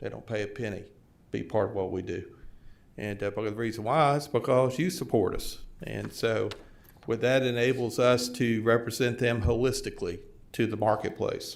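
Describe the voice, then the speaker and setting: A medium-pitched man with vocal fry, ordinary pitch variation and a moderate pace. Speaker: tourism organization president. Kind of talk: formal presentation. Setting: county board meeting.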